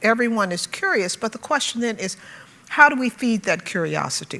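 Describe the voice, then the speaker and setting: Noticeable background noise sits behind a woman with an American accent and a fairly high voice. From US South, Birmingham, Alabama. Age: 60s. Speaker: conference panelist. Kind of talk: panel talk. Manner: halting, frequent fillers.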